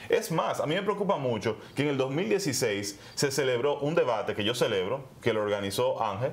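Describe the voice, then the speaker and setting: A man's fairly high voice at a moderate pace, very wide pitch swings and hardly any pauses. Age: 30s. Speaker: political candidate. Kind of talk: interview. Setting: studio.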